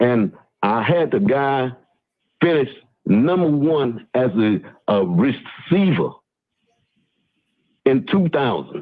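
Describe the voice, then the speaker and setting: A man with a fairly high pitch moves through very wide pitch swings at a very even loudness. He goes at a very slow pace, with long, frequent pauses. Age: 60s. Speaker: youth football mentor who sent players to the pros. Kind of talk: casual chat. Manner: halting, many fillers.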